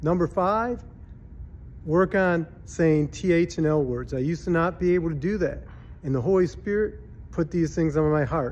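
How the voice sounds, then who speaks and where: A man's voice moves at a moderate pace, his pitch varying in an ordinary way. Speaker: minister and speaker. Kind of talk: short devotional verse reading. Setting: conference venue. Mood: warm, earnest, encouraging. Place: home room. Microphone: phone near.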